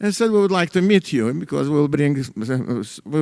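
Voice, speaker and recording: With a Russian accent, a man talks at a moderate pace, his pitch swinging very widely. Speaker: economist. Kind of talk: lecture. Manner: halting, many fillers.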